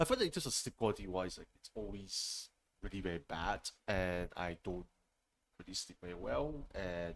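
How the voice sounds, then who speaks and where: The voice moves at a moderate pace with ordinary pitch variation and big swings in loudness. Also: man, very deep, low pitch for a man. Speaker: streamer hosting a talk show. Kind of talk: casual solo talk show. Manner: hesitant, many fillers.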